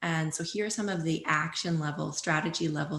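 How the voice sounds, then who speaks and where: Speaking at a fairly quick pace, a woman uses a fairly low pitch with vocal fry. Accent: Canadian. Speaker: watershed stewardship presenter. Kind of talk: public presentation. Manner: fast.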